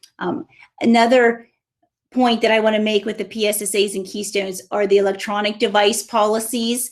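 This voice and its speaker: At a fairly quick pace, a woman speaks with a fairly high pitch and a monotone, flat intonation. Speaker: school administrator. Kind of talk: presentation to parents. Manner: fast.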